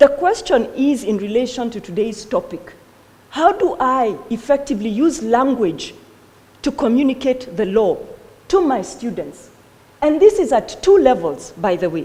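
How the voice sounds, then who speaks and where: A woman with a Kenyan accent and a high pitch talks at a moderate pace with very wide pitch swings, against noticeable background noise. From Kenya, Kikuyu-speaking. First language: Kikuyu. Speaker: law lecturer. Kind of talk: conference talk.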